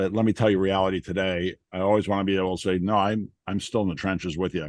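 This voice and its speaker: A man with a very deep, low voice speaks at a very fast pace. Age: 60s. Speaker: emergency physician and venture capitalist. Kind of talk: interview conversation. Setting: remote interview from an aircraft hangar. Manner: animated.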